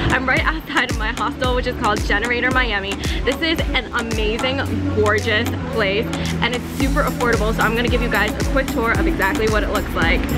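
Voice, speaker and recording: Loud music plays behind the voice. A woman speaks at a very fast pace. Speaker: travel vlogger. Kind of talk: casual vlog chat. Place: street. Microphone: phone near.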